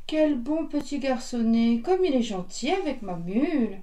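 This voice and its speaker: Speaking at a moderate pace, a woman uses a put-on character voice pitched high. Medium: read story.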